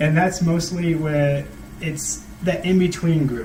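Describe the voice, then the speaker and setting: Over noticeable background noise and audible room echo, a man speaks with a fairly high pitch and ordinary pitch variation. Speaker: student vlogger. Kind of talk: casual monologue to camera. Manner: halting; sometimes very quiet.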